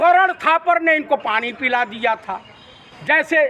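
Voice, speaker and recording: A man speaks in a raised, projected voice with lively intonation. Noticeable background noise runs underneath. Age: 60s. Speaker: political commentator. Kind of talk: TV debate interview. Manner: animated.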